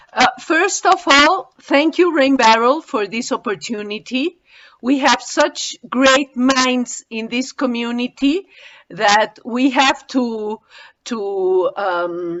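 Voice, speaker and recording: Very slowly, a woman with a high pitch and a Spanish accent speaks with lively intonation. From Mexico. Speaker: webinar participant. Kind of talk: audience question. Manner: halting.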